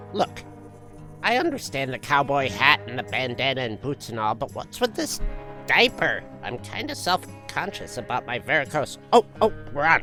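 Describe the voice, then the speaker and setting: At a moderate pace, a put-on character voice with a low-to-middle pitch plays over clear music in the background. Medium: audio drama. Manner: grumbling, indignant.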